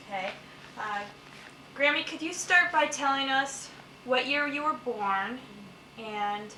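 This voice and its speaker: A woman's raised, projected voice at a fairly slow pace, with lively intonation, long and frequent pauses, and noticeable background noise. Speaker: student. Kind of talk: interviewer questions.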